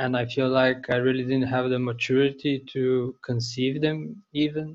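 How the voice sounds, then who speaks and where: Someone with a Bulgarian accent speaks at a moderate pace. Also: man. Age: 20s. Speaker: bookbinder. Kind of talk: interview.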